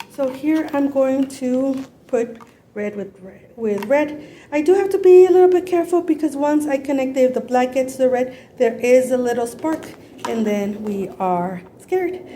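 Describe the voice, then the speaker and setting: A woman's high pitch and lively intonation at a moderate pace, with noticeable background noise. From Los Angeles, US (born in Mexico). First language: Spanish. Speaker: YouTuber. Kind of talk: tutorial. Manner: casual, halting.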